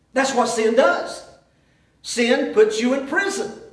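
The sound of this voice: Slow and lively in intonation, a man speaks at an extremely high pitch amid strong room echo.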